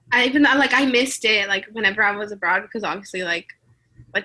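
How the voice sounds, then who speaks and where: A woman with a Spanish accent speaks in a bright, sharp tone with ordinary pitch variation. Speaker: student exchange alum. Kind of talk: interview. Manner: casual, filler-heavy.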